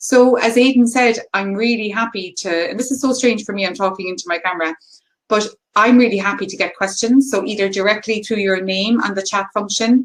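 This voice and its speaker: Speaking with a Cork accent, a woman has a fairly high pitch, ordinary pitch variation and a moderate pace. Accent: Cork Irish. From Ireland, County Cork. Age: 40s. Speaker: HR consultant. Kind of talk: webinar presentation. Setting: video call. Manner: animated.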